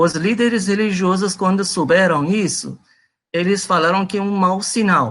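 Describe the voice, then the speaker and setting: A man speaks with a Persian accent at a high pitch and a fairly slow pace. His pitch varies in an ordinary way, and the background is quiet. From Iran. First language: Persian (speaking Portuguese). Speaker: presenter on religion. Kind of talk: lecture. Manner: halting, many fillers.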